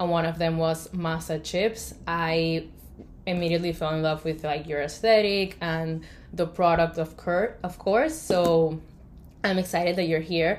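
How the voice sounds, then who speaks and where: The speaker talks at a fairly slow pace with a Spanish accent and a monotone, flat intonation. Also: woman, fairly low pitch for a woman. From Colombia. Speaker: podcast host and graphic designer. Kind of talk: casual interview. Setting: remote video call.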